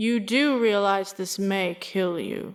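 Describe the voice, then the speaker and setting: A woman does a put-on character voice at a medium pitch, speaking fairly slowly in a very clean recording with a silent background. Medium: actual play. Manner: cold, deliberate.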